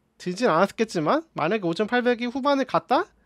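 Against a quiet background, a man talks at a fairly slow pace in an animated tone, his pitch swinging very widely, with a dry sound and no echo. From South Korea. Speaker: gaming streamer. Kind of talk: casual gaming commentary.

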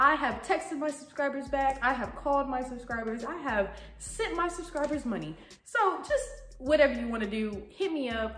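With audible room echo and noticeable background noise, a woman speaks at a high pitch and a moderate pace with lively intonation. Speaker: YouTuber. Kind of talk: casual vlog talk to camera.

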